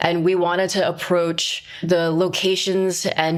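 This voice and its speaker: With a New York accent, a woman talks at a medium pitch in a flat monotone over noticeable background noise. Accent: New York American English. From Flushing, Queens, New York. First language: Cantonese. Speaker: film director. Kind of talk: interview.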